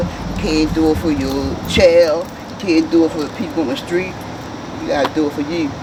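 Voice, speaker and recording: Over noticeable background noise and audible room echo, a man talks at a fairly quick pace and fairly high pitch with ordinary pitch variation. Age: 60s. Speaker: passerby in recovery. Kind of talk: casual advice. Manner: emphatic, repetitive.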